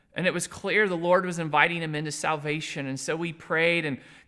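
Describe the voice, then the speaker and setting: In a very clean recording with a silent background, a man talks loudly at a high pitch with fairly even intonation. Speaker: missionary. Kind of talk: ministry update video. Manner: hesitant, with many fillers.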